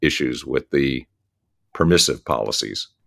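A man with an American accent speaks at a fairly slow pace, with vocal fry and ordinary pitch variation. The recording is very clean, with a silent background. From US Northeast, New Jersey. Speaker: podcast host and author. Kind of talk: casual interview.

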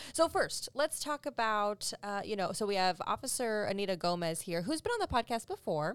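A woman talks in a plain, everyday voice at a fairly high pitch, with lively intonation, a moderate pace and hardly any pauses. The sound is dry and close with no echo, on a very clean recording with a silent background. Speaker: public information officer. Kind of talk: casual chat.

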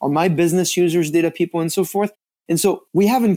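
A man speaks with a French accent. The recording is very clean, with a silent background. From France. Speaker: data and analytics executive. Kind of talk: interview.

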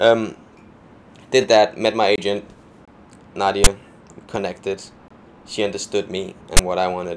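Flat and monotone at a moderate pace, a man with a fairly low pitch speaks with long, frequent pauses and big swings in loudness. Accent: Danish. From Denmark. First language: Danish. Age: 20s. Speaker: dancer and choreographer. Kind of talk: casual chat. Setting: outdoors on a balcony.

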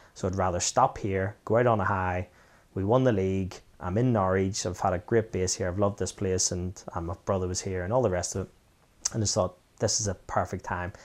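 Man with a Belfast accent, very deep and low in pitch, fairly even in intonation, at a fairly quick pace, in a very clean recording with a silent background. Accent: Belfast Northern Irish. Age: 40s. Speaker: former footballer. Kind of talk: casual chat.

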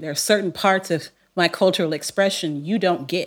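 In an American accent, a woman talks at a moderate pace with medium pitch and ordinary pitch variation, in a very clean recording with a silent background. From Long Beach, California. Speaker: theology professor. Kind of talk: interview conversation. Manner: laid back.

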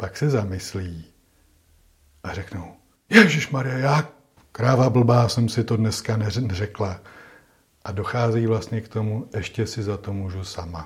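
A man's fairly low, somewhat breathy voice at a fairly slow pace, with long, frequent pauses, big swings in loudness and ordinary pitch variation. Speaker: psychologist. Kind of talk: interview.

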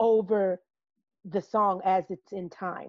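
A woman with an American accent speaks at a very slow pace. Her intonation is monotone and flat. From US Midwest (Peoria, Illinois). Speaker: jazz singer and educator. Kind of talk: casual chat.

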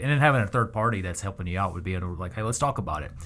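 The recording is very clean, with a silent background. A man with a fairly low pitch speaks in a bright, sharp tone with ordinary pitch variation. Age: 40s. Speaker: podcast host. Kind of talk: casual interview conversation.

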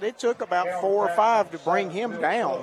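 A man's moderate pace and ordinary pitch variation come through noticeable background noise. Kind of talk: color commentary alongside play-by-play in a football broadcast. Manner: conversational, measured, analytical.

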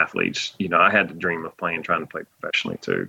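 A man with a North Carolina accent talks with a dry, close sound and no echo. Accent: Southern US (North Carolina). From US South, North Carolina (Laurinburg). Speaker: college baseball head coach. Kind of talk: interview. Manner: thoughtful.

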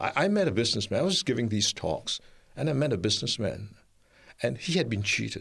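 The speech races along at a very fast pace, with very wide pitch swings. Loudness stays very even, and vocal fry is present. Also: man, medium pitch for a man. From Singapore. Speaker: international speaker and researcher on mental health. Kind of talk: radio interview. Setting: radio studio.

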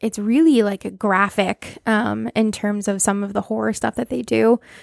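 With an American accent, a woman's voice comes through dry and close, without any echo. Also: very clean recording, silent background. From Massachusetts, US. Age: 30s. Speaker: podcast host presenting the topic. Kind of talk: casual chat.

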